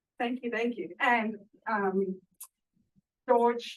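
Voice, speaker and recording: With a southern African accent, a woman speaks in a fairly even intonation. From Zimbabwe and South Africa. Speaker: food bank director. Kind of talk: panel interview. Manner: hesitant, many fillers.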